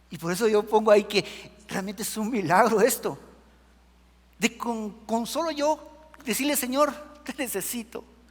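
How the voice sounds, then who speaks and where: The speaker talks fairly slowly with a Guatemalan accent and ordinary pitch variation. Loudness swings widely, and there is noticeable background noise. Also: man, high pitch for a man. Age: 60s. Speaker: preacher. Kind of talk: sermon.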